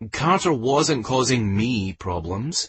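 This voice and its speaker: A man's put-on character voice, growling, medium in pitch, with very wide pitch swings and a fairly slow pace. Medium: read story. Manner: soft-spoken, quiet.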